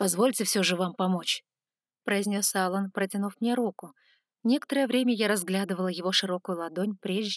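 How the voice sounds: A natural reading voice. The background is quiet.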